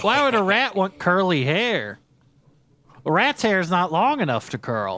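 A man performs a put-on character voice, drawling at a moderate pace. His voice is high, raised and projected, with very wide pitch swings. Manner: laid-back, drawling, says "man" constantly.

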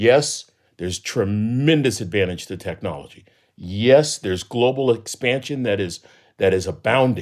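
A normal speaking voice in an American accent, at a moderate pace with lively intonation, on a very clean recording with a silent background. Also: man, medium pitch for a man. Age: 60s. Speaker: professor and motivational speaker. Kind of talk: interview conversation.

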